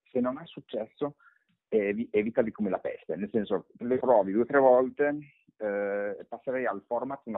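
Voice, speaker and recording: A normal speaking voice keeps a moderate pace, its pitch varying in an ordinary way. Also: man. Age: 40s. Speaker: personal branding expert and author. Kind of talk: interview.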